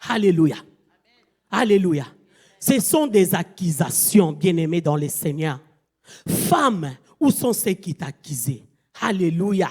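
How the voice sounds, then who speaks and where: A woman with a fairly low pitch and a somewhat breathy voice talks very slowly, with long, frequent pauses and lively intonation. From Angola. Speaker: guest preacher. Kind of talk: sermon. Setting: church convention.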